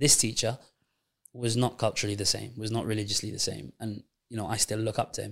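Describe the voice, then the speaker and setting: Fairly quick speech with vocal fry and fairly even intonation. Long pauses come often. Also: man. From Gibraltar. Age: 20s. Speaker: secondary school science teacher. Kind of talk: casual interview conversation.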